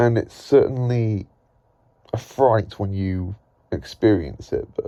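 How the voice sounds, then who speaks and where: A man speaks with an English Midlands accent at a very slow pace. His medium-pitched voice has a dark, mellow tone. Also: ordinary pitch variation. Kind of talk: casual talk to camera.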